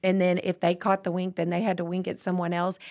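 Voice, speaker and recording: Very fast and monotone, a woman speaks with an American accent in a flat intonation. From Texas (Tyler). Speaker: parenting podcast co-host. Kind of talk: casual chat.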